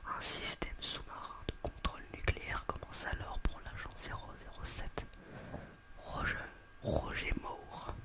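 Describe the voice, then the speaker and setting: A man whispers very slowly as noticeable background noise carries on. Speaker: ASMR creator doing a roleplay as a film shop seller. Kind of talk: roleplay as shop seller, reading film back-cover synopses aloud. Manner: slightly stumbling, casual.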